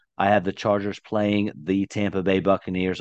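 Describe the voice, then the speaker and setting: This man talks at a very fast pace. The background is quiet. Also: dry, close sound with no echo. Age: 30s. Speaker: fantasy football podcast host. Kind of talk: casual chat.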